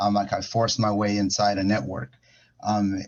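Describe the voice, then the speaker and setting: In a Spanish accent, a man talks with a fairly low pitch. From Ecuador. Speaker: music industry professional. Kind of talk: panel talk. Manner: halting. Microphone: connection freezing.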